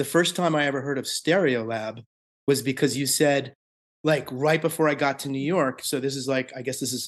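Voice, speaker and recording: In a plain, everyday voice, a man with an American accent speaks at a moderate pace and fairly high pitch, his intonation fairly even against a quiet background. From US, Maryland. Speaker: songwriter and musician. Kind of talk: interview.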